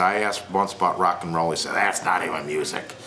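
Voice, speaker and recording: Music plays in the background as a man talks in a very deep, low pitch, with audible room echo. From McHenry, Illinois, US Midwest. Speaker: guitarist. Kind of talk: oral history interview.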